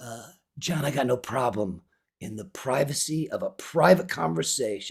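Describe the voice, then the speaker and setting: A man talks with an American accent. His pace is moderate. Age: 60s. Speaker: podcaster, high school math teacher. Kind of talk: open-letter monologue podcast. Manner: halting, repetitive fillers.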